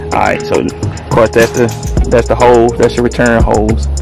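A man speaks over clear background music, in a dry sound with no echo. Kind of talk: tutorial. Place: street. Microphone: phone near.

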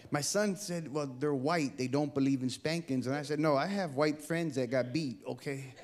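With an American accent, a man at a fairly high pitch speaks at a moderate pace with ordinary pitch variation and hardly any pauses. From Bay Area, California; California. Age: 50s. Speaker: comedian. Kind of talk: stand-up; sermon. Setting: stage with audience. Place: stage. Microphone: handheld.

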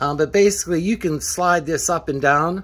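With ordinary pitch variation, a man's speech proceeds at a moderate pace. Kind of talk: tutorial. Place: garage.

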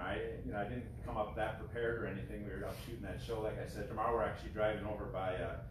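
A man talks at a very fast pace with hardly any pauses, his voice carrying audible room echo over noticeable background noise. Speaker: guest. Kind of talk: informal talk to an audience. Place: garage. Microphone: camera far.

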